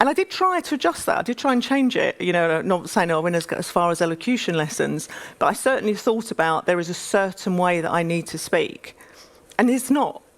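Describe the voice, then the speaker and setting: A woman talks fairly quickly with an East London accent. Her pitch is medium and her intonation lively. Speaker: business executive. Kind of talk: panel interview on stage. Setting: conference stage.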